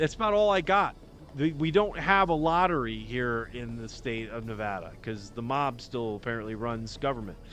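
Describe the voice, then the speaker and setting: At a moderate pace, a man speaks in a medium pitch with lively intonation. His loudness swings widely. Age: 50s. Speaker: podcast host. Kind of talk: casual livestream monologue. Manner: rambling, halting with many restarts.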